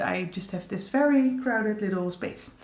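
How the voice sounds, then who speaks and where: A woman's medium-pitched voice at a moderate pace, with music in the background and audible room echo. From Netherlands. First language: Dutch. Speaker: beauty vlogger. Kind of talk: casual vlog update. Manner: halting, frequent fillers.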